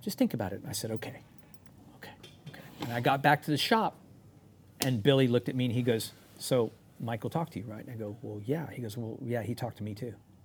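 A man with an American accent talks at a very fast pace, somewhat breathy, at medium pitch with ordinary pitch variation. His loudness swings widely, and he leaves long, frequent pauses. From Texas, San Antonio. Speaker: motorcycle builder and former rock drummer. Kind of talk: casual chat. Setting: studio.

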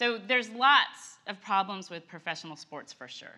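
Her voice has a bright, sharp tone and ordinary pitch variation. The woman talks at a moderate pace. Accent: American. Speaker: co-teacher. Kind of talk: sermon. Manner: animated.

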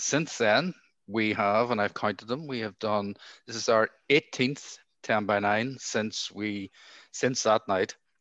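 A man with a medium pitch talks at a very slow pace, leaving long, frequent pauses and using ordinary pitch variation. The sound is dry and close with no echo, over a quiet background. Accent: Northern Irish. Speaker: podcast host. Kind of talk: podcast hosting, introductions.

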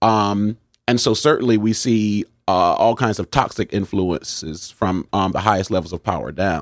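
With an American accent, a man has an unremarkable speaking voice, fairly low in pitch, with ordinary pitch variation, a moderate pace and a dry, close sound with no echo. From New Haven, Connecticut. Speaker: pastor. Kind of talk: interview.

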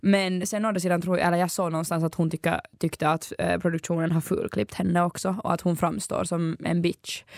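Recorded dry and close with no echo, a woman talks fairly quickly with fairly even intonation and hardly any pauses. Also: fairly low pitch for a woman, very even loudness. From Finland, Ekenäs. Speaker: student radio host. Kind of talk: casual chat.

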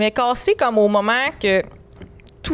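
The speaker, in a Quebec accent, talks at a moderate pace. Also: woman. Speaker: podcast co-host. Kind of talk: casual chat.

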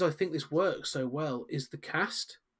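This man has a fairly high pitch and speaks with a British accent. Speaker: podcast host. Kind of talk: casual podcast chat.

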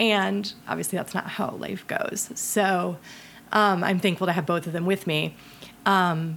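With an American accent, a woman talks at a medium pitch and a moderate pace. Her intonation is fairly even, with some vocal fry. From US Midwest, Ohio. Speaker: film director. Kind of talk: casual chat.

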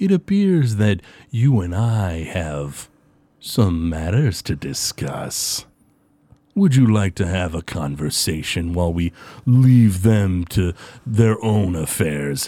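In a put-on character voice with a smug tone, the speaker goes at a fairly slow pace in a very clean recording with a silent background. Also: man, very deep, low pitch for a man. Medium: actual play. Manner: smug, condescending.

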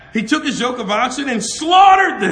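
A man's raised, projected voice, animated in tone with very wide pitch swings, over noticeable background noise. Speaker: preacher. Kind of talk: sermon. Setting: class with audience. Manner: loud.

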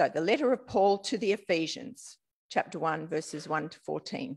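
Pitch swings very widely as the speech moves at a fairly slow pace over a very clean recording with a silent background. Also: woman. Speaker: scripture reader. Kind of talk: reading aloud.

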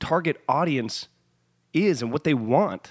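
Lively intonation and an animated tone come through in a dry, close sound with no echo. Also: man. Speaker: podcast host. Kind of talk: casual chat. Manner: loud, high energy, talkative.

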